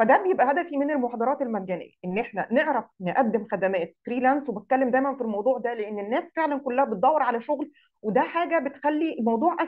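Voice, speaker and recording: In an Egyptian accent, a woman talks at a very fast pace in a high voice with very wide pitch swings. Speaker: digital marketing instructor. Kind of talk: online lecture. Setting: live Zoom session.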